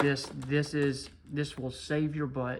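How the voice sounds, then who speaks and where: Over noticeable background noise, a man speaks in a fairly high pitch with monotone, flat intonation. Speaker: coin and card collecting youtuber. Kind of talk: casual monologue. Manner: slow; halting.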